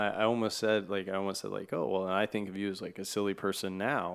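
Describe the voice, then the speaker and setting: An ordinary speaking voice, a man's, fairly low-pitched, at a fairly quick pace with fairly even intonation, on a very clean recording over a silent background. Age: 30s. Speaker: podcast host. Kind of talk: casual interview conversation. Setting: home studio in an apartment.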